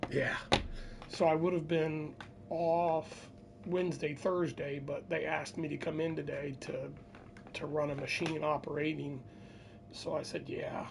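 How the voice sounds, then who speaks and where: A quiet voice at a fairly slow pace, with long, frequent pauses. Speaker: gaming streamer. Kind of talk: casual chat. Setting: at home.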